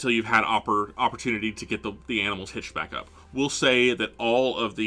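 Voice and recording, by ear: The speaker reads aloud in a natural voice. The intonation is fairly even.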